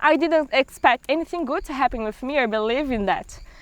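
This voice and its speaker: With a Brazilian accent, a woman speaks fairly quickly in a high pitch, using ordinary pitch variation. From Brazil, Pará (Amazon region). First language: Portuguese. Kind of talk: testimony. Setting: outdoors in the forest.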